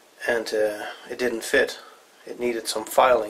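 A man at a moderate pace. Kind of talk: tutorial. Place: workshop.

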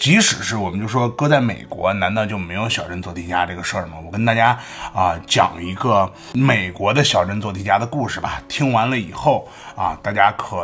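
Music in the background behind a man with a fairly low pitch, ordinary pitch variation and a moderate pace. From China. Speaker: commentary vlogger. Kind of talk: casual commentary monologue. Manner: animated. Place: home room. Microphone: studio mic.

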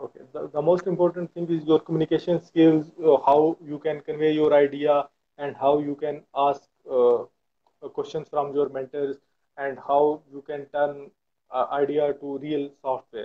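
A man speaks at a moderate pace with fairly high pitch. His voice shows little pitch movement.

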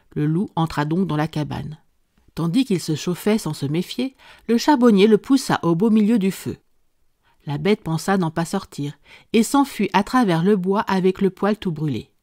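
A woman's dark, mellow voice at medium pitch, lively in intonation, fairly slow with long, frequent pauses, in a dry, close sound with no echo and a very clean recording against a silent background. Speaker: audiobook narrator. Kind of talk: scripted narration of a folk tale, read aloud.

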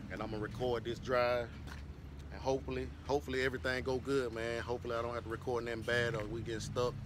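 A man at a very fast pace with ordinary pitch variation, dry sound with no echo, and noticeable background noise. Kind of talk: casual vlog chat. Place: street. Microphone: phone near.

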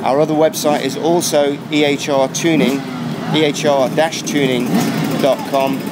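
A man speaks with ordinary pitch variation. Loud background noise runs behind him. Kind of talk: promotional interview. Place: street.

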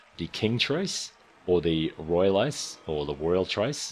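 The speaker is a man with a very deep, low pitch. He talks in an Australian accent. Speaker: gaming YouTuber. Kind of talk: casual game guide commentary.

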